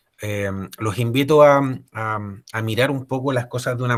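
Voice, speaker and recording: With a Chilean accent, a man speaks at a medium pitch with fairly even intonation in a very clean recording with a silent background. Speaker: ergonomist. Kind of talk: lecture. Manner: halting, many fillers and repetitions.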